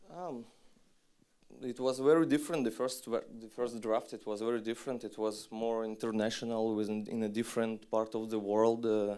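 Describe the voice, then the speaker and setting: At a moderate pace, a man with a Russian accent speaks in a dark, mellow tone. His medium-pitched voice keeps a fairly even intonation. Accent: non-native English, Russian. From Western Siberia, Russia. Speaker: documentary filmmaker. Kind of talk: festival Q&A talk. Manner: halting, many fillers and restarts.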